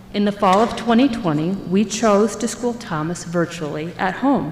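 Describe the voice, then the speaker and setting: Amid noticeable background noise, a woman with medium pitch and lively intonation speaks at a moderate pace. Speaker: parent speaking at public comment. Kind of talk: public comment speech.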